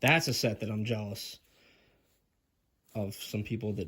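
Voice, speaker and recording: With fairly even intonation, a man's somewhat breathy voice comes through. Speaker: Lego hobbyist video creator. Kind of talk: casual product review vlog. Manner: casual, halting with fillers.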